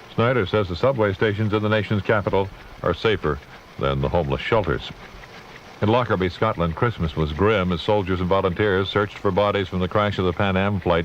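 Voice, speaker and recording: At a fairly quick pace, a man with a fairly low pitch and ordinary pitch variation speaks over noticeable background noise. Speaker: radio news anchor. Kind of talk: all-news radio broadcast read.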